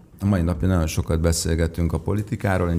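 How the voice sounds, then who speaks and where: This man speaks in a very deep, low voice with fairly even intonation. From Hungary. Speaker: singer-songwriter; guest. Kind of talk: interview. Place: studio. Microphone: studio mic.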